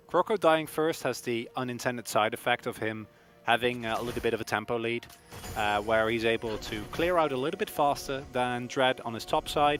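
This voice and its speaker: A man is talking fairly quickly. Background music can be heard. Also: medium pitch for a man, ordinary pitch variation. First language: not English. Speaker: esports caster. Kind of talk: live commentary.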